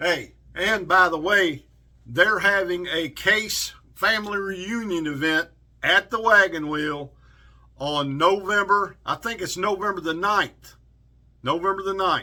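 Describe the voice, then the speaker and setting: A man with a Southern US accent uses a raised, projected voice, high in pitch. His tone is bright and sharp, and his pace is fairly slow. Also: ordinary pitch variation. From South Carolina and Kentucky. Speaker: outdoors and knife YouTuber. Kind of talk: casual vlog, knife review. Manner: animated.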